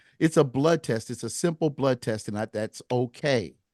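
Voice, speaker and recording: A man at a moderate pace with lively intonation, over a quiet background. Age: 60s. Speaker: singer-songwriter and podcast host. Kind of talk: casual interview conversation. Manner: hesitant, many fillers.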